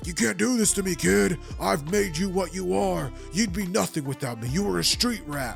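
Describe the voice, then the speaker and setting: A man's put-on character voice, fairly high in pitch, at a moderate pace over clear background music. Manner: menacing, domineering.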